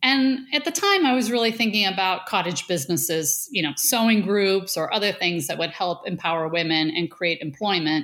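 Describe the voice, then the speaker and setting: A woman's ordinary speaking voice with an American accent, medium pitch, lively intonation, very even loudness and a moderate pace. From Western New York (south of Buffalo). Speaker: food company CEO. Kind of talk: interview.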